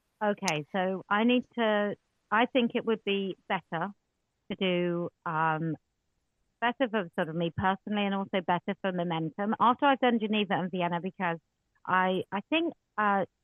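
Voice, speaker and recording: Woman with an English accent, medium pitch, ordinary pitch variation and a moderate pace. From England. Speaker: women's rights campaigner. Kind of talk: online audio space Q&A. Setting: online audio space. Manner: loud.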